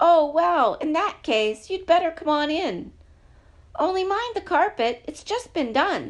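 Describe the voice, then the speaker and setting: A woman uses a put-on character voice at an extremely high pitch with very wide pitch swings. Her pace is fairly slow. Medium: read story. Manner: brisk, fussy.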